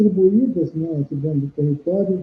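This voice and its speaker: A man's voice, high in pitch, its pitch moving in an ordinary way. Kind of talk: interview answer.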